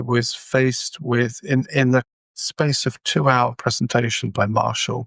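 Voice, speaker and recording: A man with an English accent talks at medium pitch and a fairly slow pace. His intonation is fairly even, his loudness very even, and the sound dry and close with no echo. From England. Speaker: communication trainer. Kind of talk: interview.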